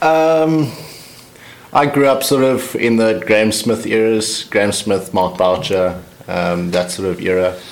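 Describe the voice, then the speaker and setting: A man speaks with a South African accent and a fairly low pitch. His pace is fairly slow, and his intonation is lively. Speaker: cricketer, overseas club player. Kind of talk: casual interview.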